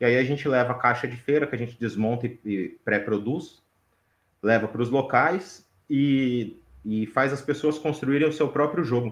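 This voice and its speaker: This is an ordinary speaking voice with ordinary pitch variation against a quiet background. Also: man. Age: 30s. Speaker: game maker and cultural educator. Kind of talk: casual chat.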